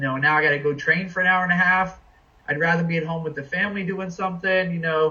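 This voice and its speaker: The speaker is a man at a fairly high pitch. He talks at a very fast pace. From New England. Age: 40s. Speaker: guest, father and amateur jiu-jitsu practitioner. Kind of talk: casual chat.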